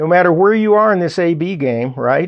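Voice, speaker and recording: A man's animated tone with lively intonation, in a Southern US accent. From US South, Arkansas. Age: 60s. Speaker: radio host. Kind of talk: radio talk show monologue. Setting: studio. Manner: conversational, animated.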